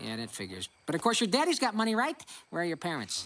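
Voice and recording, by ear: A man does a cartoonish character voice, high-pitched for a man. He speaks fast with very wide pitch swings. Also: fairly bright tone.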